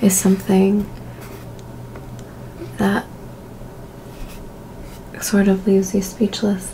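A soft-spoken woman talks at a very slow pace with a medium pitch. Her intonation is monotone and flat over light background noise. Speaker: ASMR creator. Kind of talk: ASMR role-play. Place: home room.

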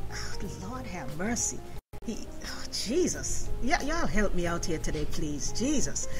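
A woman at a fairly slow pace over clear music in the background. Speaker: radio host. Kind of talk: radio interview. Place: studio.

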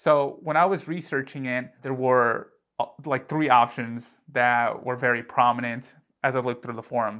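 A man speaks at a moderate pace with fairly even intonation against a quiet background. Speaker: tech youtuber. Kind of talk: tutorial. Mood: light, joking. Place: home room. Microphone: lapel.

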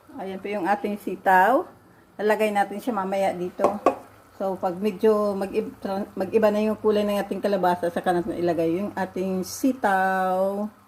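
With noticeable background noise behind her, a woman speaks in a fairly even intonation. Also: medium pitch for a woman, moderate pace. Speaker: vlogger and caregiver. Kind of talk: cooking vlog tutorial.

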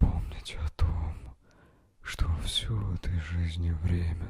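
Soft-spoken, a man talks at a very slow pace in a dry sound with no echo. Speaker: relaxation guide. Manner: soft, hushed ASMR voice close to mic. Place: home room. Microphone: handheld.

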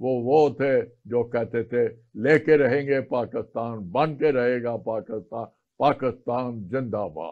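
A man talks at a very slow pace. His pitch is medium, with ordinary pitch variation. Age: 80s+. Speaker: retired army colonel; guest. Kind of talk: oral history interview. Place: studio.

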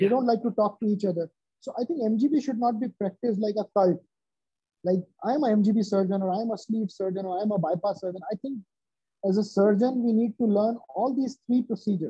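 In a quiet background, a man with an Indian accent talks at a fairly quick pace and a high pitch. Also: ordinary pitch variation, dry sound with no echo. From central India. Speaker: bariatric surgeon; interviewee. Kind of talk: interview. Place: office. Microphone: video call.

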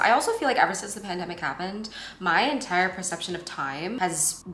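A woman talks at a fairly quick pace. Room echo can be heard. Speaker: vlogger. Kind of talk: casual vlog chat. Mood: reflective, a bit overwhelmed. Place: kitchen. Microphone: camera far.

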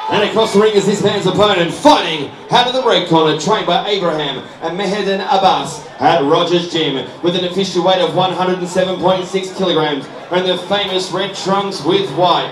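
Delivered at a moderate pace with hardly any pauses, the voice comes through over noticeable background noise. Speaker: boxing ring announcer. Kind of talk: booming fight-night ring introduction, building to the fighter's name. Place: hall.

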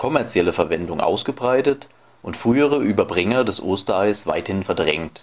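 Speaking at a moderate pace, a man uses lively intonation at a medium pitch. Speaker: volunteer narrator. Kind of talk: encyclopedia article reading.

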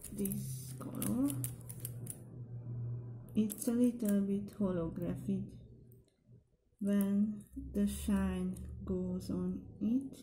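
Over light background noise, a woman with a non-native accent speaks at a very slow pace with long, frequent pauses. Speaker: nail hobby vlogger. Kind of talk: casual product haul talk to camera. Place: home room. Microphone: camera far.

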